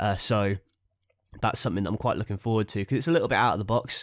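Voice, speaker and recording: A man with a fairly low pitch speaks in a very clean recording with a silent background. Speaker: wrestling figure podcast host. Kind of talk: casual solo podcast. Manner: hesitant with many fillers.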